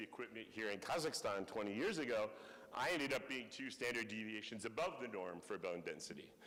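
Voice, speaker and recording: A man talks at a fairly quick pace with an American accent. Audible room echo fills the recording. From US Northeast. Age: 60s. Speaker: professor. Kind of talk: lecture.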